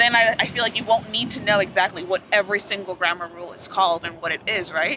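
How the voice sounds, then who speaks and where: With noticeable background noise behind her, a woman at medium pitch talks at a very fast pace, her loudness swinging widely. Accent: Spanish. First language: Spanish. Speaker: language student. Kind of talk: casual chat. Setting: outdoors at the beach.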